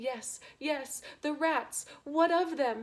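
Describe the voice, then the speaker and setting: A woman's high-pitched, put-on character voice, raised and projected. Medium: read story. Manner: melodramatic.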